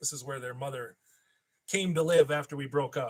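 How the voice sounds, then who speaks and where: Somewhat breathy, this man's voice sits at a fairly high pitch. He speaks with an Upper Midwest accent. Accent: Upper Midwest American. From Minnesota. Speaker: toy collector YouTuber. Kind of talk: live stream chat. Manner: casual, rambling.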